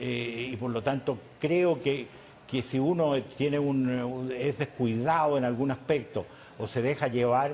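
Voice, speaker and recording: The delivery is fairly slow with fairly even intonation, and noticeable background noise is heard. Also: man, medium pitch for a man. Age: 80s+. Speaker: businessman and former industry leader. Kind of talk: TV interview. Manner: halting, with frequent repetitions.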